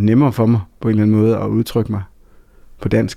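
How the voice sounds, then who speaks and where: A man speaks at a fairly quick pace in a fairly low, dark, mellow voice. His intonation is flat and monotone. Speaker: songwriter and author. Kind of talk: interview. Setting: studio.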